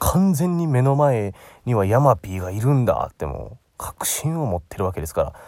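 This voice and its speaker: On a very clean recording with a silent background, a man with a Kansai accent speaks at a moderate pace and medium pitch, his dark, mellow tone moving through very wide pitch swings. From Osaka, Japan. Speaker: aspiring narrator, podcast host. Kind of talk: solo casual monologue. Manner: chatty, filler-heavy.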